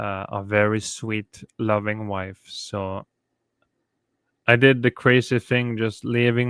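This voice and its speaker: This man talks at a medium pitch in a Norwegian accent, very slowly. The sound is dry and close, with no echo. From Norway. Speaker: YouTuber. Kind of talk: casual livestream chat. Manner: halting.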